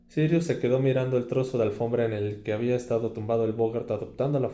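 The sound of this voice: Here an unforced reading voice is heard.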